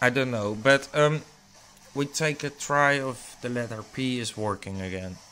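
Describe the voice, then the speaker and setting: In a very clean recording with a silent background, a man with a non-native accent speaks at a fairly slow pace. His medium pitch has a bright, sharp tone and ordinary pitch variation. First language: not English. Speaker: tech hobbyist YouTuber. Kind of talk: tutorial. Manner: halting.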